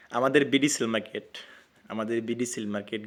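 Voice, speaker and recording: The very clean recording, with a silent background, holds a normal speaking voice with fairly even intonation. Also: man. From Bangladesh, Mymensingh (Muktagacha). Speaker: online telecom offer group admin, YouTuber. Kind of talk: casual talk to camera.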